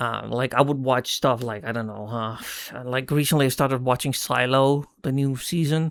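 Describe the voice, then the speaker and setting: On a very clean recording with a silent background, a man talks at a medium pitch and a moderate pace with fairly even intonation. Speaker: person who stutters. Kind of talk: casual talk to camera. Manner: hesitant, stumbling.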